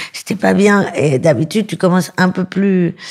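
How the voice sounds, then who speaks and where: At a fairly slow pace, a woman talks in an ordinary speaking voice, her medium pitch showing ordinary variation. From Paris suburbs, France. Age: 30s. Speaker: comedian. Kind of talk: interview.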